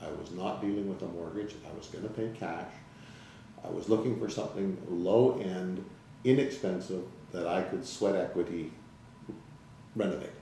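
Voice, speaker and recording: Over noticeable background noise and audible room echo, a man with a fairly low pitch talks with ordinary pitch variation, big swings in loudness and long, frequent pauses. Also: moderate pace. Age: 60s. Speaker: salesman giving client testimonial. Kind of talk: interview testimonial. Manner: hesitant, many fillers.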